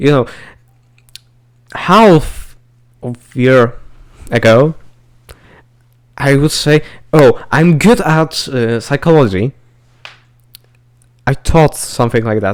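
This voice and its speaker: A man talks at a very slow pace with long, frequent pauses. He has a non-native accent and lively intonation. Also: fairly high pitch for a man. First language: not English. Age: young. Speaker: podcast co-host. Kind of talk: casual chat. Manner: halting.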